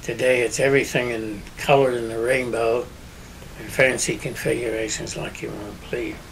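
Over noticeable background noise, a man with a western Pennsylvania accent talks with fairly even intonation. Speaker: business owner; interviewee. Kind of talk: oral history interview. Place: home room.

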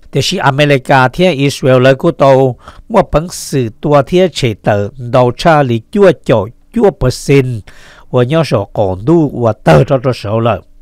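A man talks very slowly at a medium pitch, with lively intonation and a northern Vietnamese accent. The sound is dry and close, with no echo. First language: Hmong (speaking Vietnamese). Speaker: radio news host. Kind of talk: news reading.

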